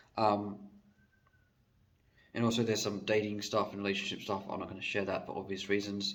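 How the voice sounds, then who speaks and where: A man's fairly low, monotone voice at a fairly quick pace, with audible room echo. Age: 20s. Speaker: vlogger. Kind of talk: casual monologue. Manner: hesitant, many fillers.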